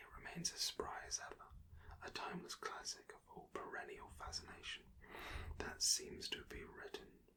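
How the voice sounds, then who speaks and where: Whispering, a man speaks at a fairly slow pace. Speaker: ASMR creator reading a book aloud. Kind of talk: whispered audiobook-style reading. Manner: whispered, slow, soft-spoken.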